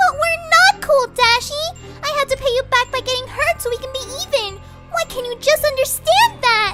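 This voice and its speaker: A woman's put-on character voice, bubbly and extremely high-pitched, at a moderate pace with clear music in the background. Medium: read story. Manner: bubbly, excitable.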